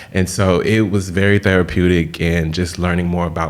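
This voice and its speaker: A man with an American accent speaks in a very deep, low voice. Noticeable background noise runs beneath him. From Texas, Austin and Houston. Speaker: celebrity fashion stylist and author. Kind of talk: interview.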